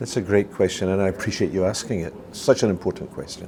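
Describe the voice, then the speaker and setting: A man with a Scottish accent. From Scotland. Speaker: retired dental cancer specialist, charity founder. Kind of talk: interview. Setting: at a conference. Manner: hesitant, many fillers.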